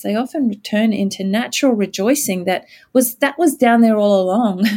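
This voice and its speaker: A somewhat breathy woman's voice with a dark, mellow tone, fairly high pitch, ordinary pitch variation and a moderate pace, in an American accent, on a very clean recording with a silent background. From Australia. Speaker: pastor. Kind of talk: interview conversation about scripture.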